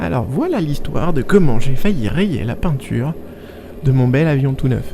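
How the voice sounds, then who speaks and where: A man talks at a moderate pace. Noticeable background noise runs beneath him. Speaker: private pilot. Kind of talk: voice-over narration. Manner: slightly stiff, charming.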